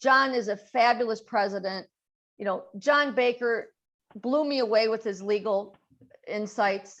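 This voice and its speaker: A woman speaks with a plain, everyday voice in an American accent. Her pitch is fairly high, her pace fairly slow, and her intonation fairly even. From Chicago, US Midwest. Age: 60s. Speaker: social media marketing founder, former commercial real estate broker. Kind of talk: casual Q&A chat at a video-call event.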